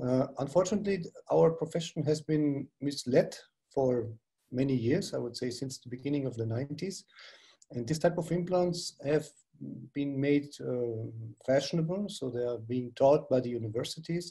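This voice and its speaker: A man speaks with a German accent at a fairly high pitch. His tone is dark and mellow, somewhat breathy. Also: ordinary pitch variation, moderate pace. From Germany, Bavaria region. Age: 60s. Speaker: dentist and implantologist. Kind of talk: webinar lecture.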